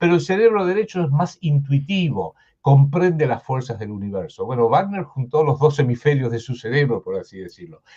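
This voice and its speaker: A man with a fairly high, dark and mellow voice talks with hardly any pauses, his pitch swinging very widely. His loudness rises and falls sharply, and he sounds somewhat breathy. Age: 70s. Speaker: political commentator. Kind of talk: interview. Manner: halting.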